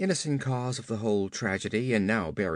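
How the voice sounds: Pitch varies in an ordinary way as the text is read in a natural voice.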